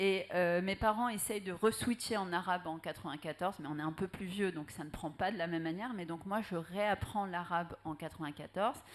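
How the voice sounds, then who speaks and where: This woman has a fairly low pitch with ordinary pitch variation. She talks at a fairly quick pace with hardly any pauses. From Algeria. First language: Arabic (speaking French). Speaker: writer. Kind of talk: panel discussion. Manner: hesitant, many fillers.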